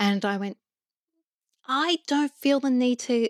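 A woman with an Australian accent is heard on a very clean recording with a silent background. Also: dry, close sound with no echo. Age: 40s. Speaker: psychologist and coach. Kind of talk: interview.

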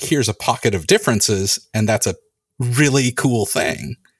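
On a very clean recording with a silent background and a dry, close sound with no echo, a man talks. He has an ordinary speaking voice, medium pitch and ordinary pitch variation. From California. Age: 40s. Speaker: podcast host. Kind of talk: casual chat.

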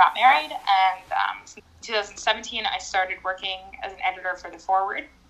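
Her voice, an unremarkable speaking voice, sits at a middle pitch for a woman and moves at a medium speed. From US, raised in Russian immigrant Orthodox family. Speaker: writer and journalist. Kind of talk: casual interview chat.

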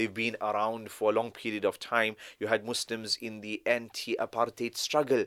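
A man with a South African accent at medium pitch and moderate pace, in a very clean recording with a silent background and a dry, close sound with no echo. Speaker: Islamic scholar. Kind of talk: casual interview.

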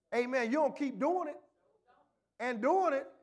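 A man talks in an extremely high pitch. His tone is animated and his pace moderate. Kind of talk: sermon. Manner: animated call-and-response preacher, punctuating with "glory to God" and "amen"; colloquial and folksy, with humorous asides and repetition for emphasis.

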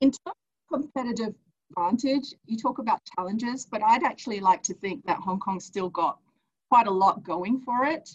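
A woman's fairly high, somewhat breathy voice, with lively intonation at a moderate pace. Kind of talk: webinar panel talk.

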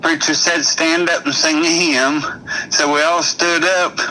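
Noticeable background noise accompanies a man with a high pitch and ordinary pitch variation. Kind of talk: telling a joke.

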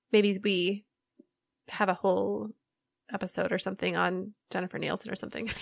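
The tone is bright and sharp, with vocal fry, at a fairly quick pace. The sound is dry and close, with no echo. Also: woman. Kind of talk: casual chat about books.

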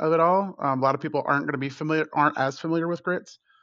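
Against a quiet background, a man with a fairly high pitch uses a normal speaking voice and ordinary pitch variation. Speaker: chef panelist. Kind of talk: casual chat.

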